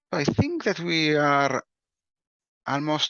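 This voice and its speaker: A man is speaking. He talks with an Italian accent. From Italy. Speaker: breakout room moderator. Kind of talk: meeting moderation.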